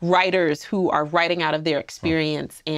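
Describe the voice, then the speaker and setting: A woman with a plain, everyday voice, fairly low in pitch, at a moderate pace over a quiet background. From US East Coast, New Jersey and Queens, New York. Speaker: filmmaker and film professor. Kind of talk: casual interview chat.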